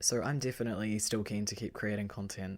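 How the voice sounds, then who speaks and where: The speaker has a New Zealand accent and a fairly quick pace. The recording is very clean, with a silent background. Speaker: horror story narrator. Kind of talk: casual chat.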